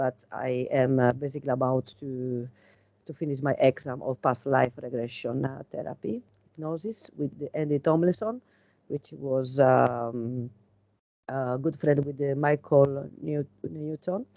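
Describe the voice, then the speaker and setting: A woman with a strong Italian accent speaks in a very deep, low pitch and a dark, mellow tone, at a fairly slow pace. Her pitch varies in an ordinary way, and the sound is dry and close with no echo. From Italy. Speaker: tarot reader and regression hypnotist. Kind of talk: casual chat. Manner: halting.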